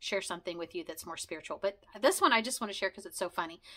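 A bright, sharp tone with ordinary pitch variation stands out against a quiet background. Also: woman. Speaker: video blogger sharing conversion story; vlogger. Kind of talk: casual monologue, personal storytelling. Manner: fast, talkative; rambling with many fillers. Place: home room.

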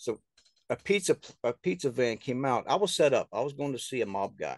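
A man is speaking. The sound is dry with no echo, and the background is quiet. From US South. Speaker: author and filmmaker. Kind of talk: casual interview. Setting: remote call. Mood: earnest, somewhat aggrieved. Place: home room. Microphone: video call.

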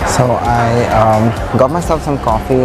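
A man speaks. Music plays clearly behind him. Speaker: travel vlogger host. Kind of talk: casual vlog chat. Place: hall. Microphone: lapel.

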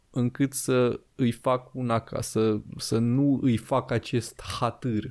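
A man speaks very slowly over a quiet background. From Romania. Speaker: podcast host. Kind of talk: casual chat. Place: studio. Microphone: studio mic.

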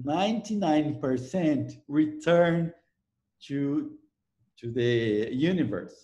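A man with a Brazilian accent talks at a very slow pace in a fairly high, somewhat breathy voice with a dark, mellow tone, lively intonation and long, frequent pauses. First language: Portuguese. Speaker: ecology professor. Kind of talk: interview. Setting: video call.

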